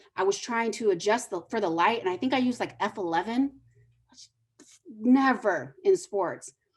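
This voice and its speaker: In a normal speaking voice, a woman with a fairly high pitch talks at a moderate pace, her intonation lively and her loudness swinging widely. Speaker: photojournalist teaching photography. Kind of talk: lecture. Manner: casual, filler-heavy.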